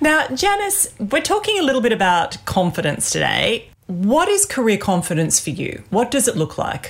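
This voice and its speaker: A woman with an Australian accent talks at a moderate pace with hardly any pauses, her fairly high pitch making very wide swings, over noticeable background noise. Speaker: podcast host and executive coach. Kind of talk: interview-style podcast chat.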